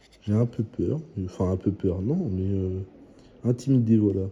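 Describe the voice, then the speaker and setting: A man talks quietly in a very deep, low pitch. His tone is dark and mellow, and somewhat breathy. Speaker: scratch-card YouTuber. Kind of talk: casual vlog commentary. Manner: hesitant.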